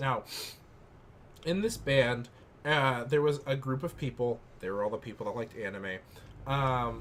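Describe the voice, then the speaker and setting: A loud man's voice at a medium pitch, lively in intonation and moderate in pace. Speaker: gaming YouTuber. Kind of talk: casual chat.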